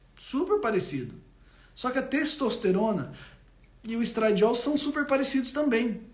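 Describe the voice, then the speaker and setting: Over noticeable background noise, a man with an extremely high pitch speaks in an animated tone at a moderate pace, with ordinary pitch variation and long, frequent pauses. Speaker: doctor. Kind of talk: live stream health talk.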